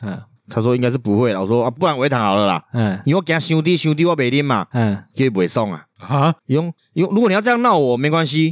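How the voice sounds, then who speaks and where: Very fast talk with very wide pitch swings on a very clean recording with a silent background. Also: man, medium pitch for a man. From Taiwan, Changhua County. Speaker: podcast co-host. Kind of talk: casual chat.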